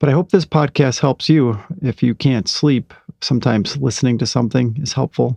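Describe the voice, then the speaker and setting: At a fairly quick pace, a man with a dark, mellow tone sounds somewhat breathy, showing ordinary pitch variation in a dry, close sound with no echo. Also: medium pitch for a man. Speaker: anxiety recovery podcaster. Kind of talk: casual podcast monologue. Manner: many fillers and hesitations.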